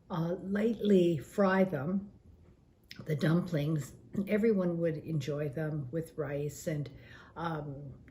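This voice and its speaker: Somewhat breathy and dark, mellow in tone, a woman speaks at a very slow pace with a very deep, low pitch and ordinary pitch variation, with audible room echo around her. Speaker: senior cookbook participant. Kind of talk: personal reminiscence. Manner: hesitant, many fillers.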